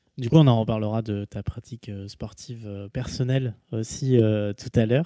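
A man's fairly slow, dark, mellow voice at medium pitch, with ordinary pitch variation and big swings in loudness. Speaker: podcast host. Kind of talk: interview. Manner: halting.

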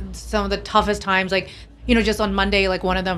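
A woman with an American accent speaks at a very fast pace in a room with audible echo. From Pakistan, American boarding school. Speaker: tech company founder and CEO. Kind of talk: casual interview. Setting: on location at a conference.

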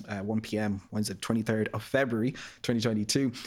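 A man with an Irish accent, medium pitch and monotone, flat intonation on a very clean recording with a silent background. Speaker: marketing graduate trainee. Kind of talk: podcast interview. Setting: studio.

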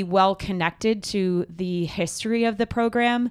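A woman's unremarkable speaking voice at medium pitch with an American accent and fairly even intonation, in a very clean recording with a silent background. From New Jersey. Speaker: track and field coach, podcast host. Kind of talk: casual chat. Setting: studio.

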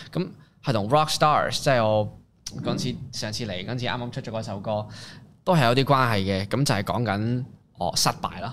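A man at a medium pitch with an unremarkable speaking voice, ordinary pitch variation and a moderate pace, in a very clean recording with a silent background. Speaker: rapper and singer-songwriter. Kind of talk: casual interview chat.

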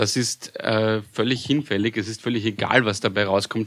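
With a normal speaking voice, a man speaks at a fairly low pitch and with fairly even intonation. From Vienna, Austria. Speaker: podcast guest. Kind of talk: casual chat.

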